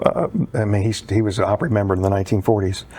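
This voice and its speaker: A man talks in a fairly low pitch. His intonation stays fairly even. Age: 60s. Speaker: country singer and theatre performer. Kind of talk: casual interview chat. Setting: studio.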